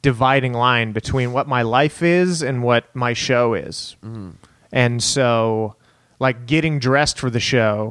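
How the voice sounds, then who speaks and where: In an American accent, a man with an unremarkable speaking voice talks at a fairly slow pace, medium pitch and ordinary pitch variation. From Texas, El Paso. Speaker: stand-up comedian. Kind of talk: casual chat.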